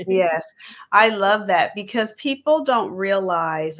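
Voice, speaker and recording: Speaking fairly slowly, a woman uses an ordinary speaking voice at medium pitch. Her intonation is lively. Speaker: podcast interview host. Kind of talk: interview host talk.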